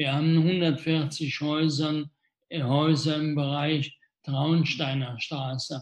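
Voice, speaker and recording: At a very slow pace, a man talks in a fairly high pitch, somewhat breathy. His intonation stays monotone and flat. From Rhineland, Germany (Wesseling near Cologne). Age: 60s. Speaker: mayor. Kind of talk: live Q&A interview. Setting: Facebook livestream.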